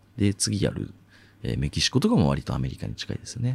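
A man's very deep, low voice with vocal fry and a dark, mellow tone at a fairly quick pace, on a very clean recording with a silent background. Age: 20s. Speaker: podcast host. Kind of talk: solo voice essay, casual monologue.

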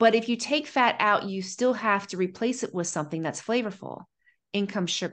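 A woman with an American accent speaks at a medium pitch with ordinary pitch variation against a quiet background. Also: moderate pace. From Ohio, US Midwest. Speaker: pharmacist and nutrition coach. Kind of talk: interview conversation. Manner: animated.

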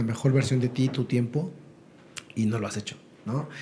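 A man's dark, mellow, somewhat breathy voice at a fairly quick pace, with fairly even intonation. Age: 40s. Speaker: network marketing entrepreneur. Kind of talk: interview.

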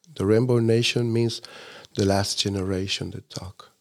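With a Spanish accent, a man speaks at a fairly slow pace in a fairly low pitch. His intonation is fairly even, and the recording is very clean with a silent background. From Chile. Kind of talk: casual interview chat.

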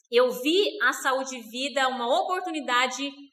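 A woman's high-pitched, raised and projected voice, bright and sharp in tone, with ordinary pitch variation. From Rondônia, Brazil. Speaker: network marketing distributor. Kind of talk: interview.

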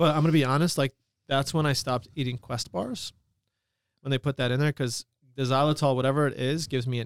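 A man with an unremarkable speaking voice talks fairly quickly at a fairly high pitch, his intonation fairly even. The recording is very clean, with a silent background and a dry, close sound with no echo. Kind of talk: casual podcast chat.

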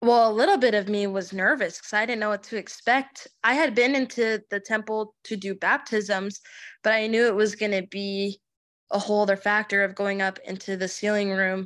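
Speaking in a normal speaking voice with an American accent, a woman talks at a moderate pace and medium pitch with fairly even intonation, on a very clean recording with a silent background. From Arizona, Chandler. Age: 20s. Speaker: podcast guest sharing life story. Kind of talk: interview testimony.

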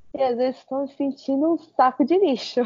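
A woman does the talking. Her pitch is high. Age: 20s. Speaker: university student. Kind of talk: casual chat.

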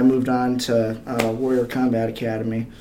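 With an American accent, a man talks amid audible room echo. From northern Michigan, Kalkaska. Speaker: metal finisher and amateur MMA fighter. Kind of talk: casual interview. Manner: hesitant, many fillers.

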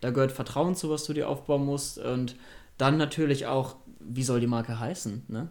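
An ordinary speaking voice from a man at medium pitch, at a moderate pace with fairly even intonation. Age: 20s. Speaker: startup co-founder. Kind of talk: interview.

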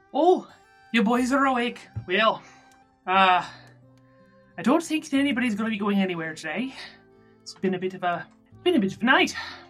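A female-sounding, strained put-on character voice at a fairly high pitch moves at a moderate pace with long, frequent pauses while faint music plays in the background. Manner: warm, fussing, motherly.

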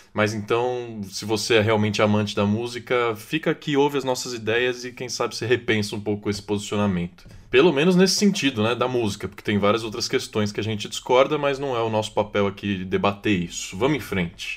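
In an unremarkable speaking voice, the talker moves at a fairly quick pace with ordinary pitch variation and hardly any pauses. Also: man. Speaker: podcast host. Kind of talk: casual podcast discussion.

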